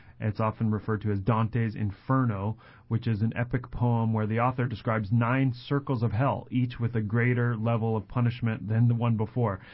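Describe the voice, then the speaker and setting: A man's somewhat breathy, medium-pitched voice with an American accent, monotone and flat, at a fairly quick pace. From Colorado, US. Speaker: church ministry assistant and radio co-host. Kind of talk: radio Bible Q&A conversation.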